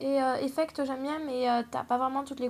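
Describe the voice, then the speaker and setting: A fairly quick female voice, high in pitch, with monotone, flat intonation. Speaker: polymer clay crafts youtuber. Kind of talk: casual tag video chat. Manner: hesitant, many fillers.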